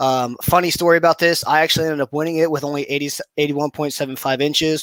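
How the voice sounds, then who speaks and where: A man speaks at a fairly high pitch and a very fast pace, his intonation monotone and flat. The sound is dry and close, with no echo. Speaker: tournament organizer and kayak angler. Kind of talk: results update video. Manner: fast, rushing.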